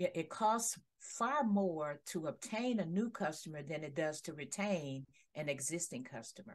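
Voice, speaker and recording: Her pitch fairly low and swinging very widely, a woman with an American accent speaks at a fairly slow pace. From Detroit, Michigan. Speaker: HR consultant; guest. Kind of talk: interview. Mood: warm, professional. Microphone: headset.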